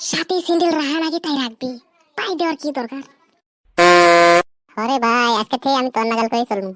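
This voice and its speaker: A woman uses a cartoonish character voice at a high pitch with ordinary pitch variation. She goes at a fairly quick pace, and the sound is dry and close with no echo. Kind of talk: comic cartoon banter. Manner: joking, bantering.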